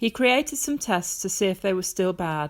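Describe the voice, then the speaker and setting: A woman's medium-pitched, normal speaking voice with lively intonation and a moderate pace, on a very clean recording with a silent background. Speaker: grandmother reading a Bible story to children. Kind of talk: children's Bible story reading, bedtime reading.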